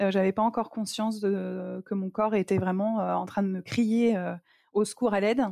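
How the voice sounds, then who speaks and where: A woman with a dark, mellow tone speaks at a moderate pace and medium pitch in a monotone, flat intonation. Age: 40s. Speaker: cancer survivor and stage performer. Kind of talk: personal testimony interview.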